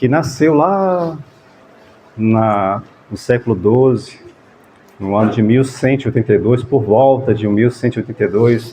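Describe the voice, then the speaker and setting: A man speaks softly at a fairly slow pace. His pitch is medium. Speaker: spiritist group leader. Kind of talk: talk to a gathering. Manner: soft-spoken; halting.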